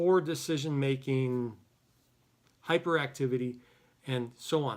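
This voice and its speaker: Delivered at a moderate pace with ordinary pitch variation, this is a plain, everyday voice. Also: man. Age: 60s. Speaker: psychologist. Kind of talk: lecture. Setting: office. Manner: casual.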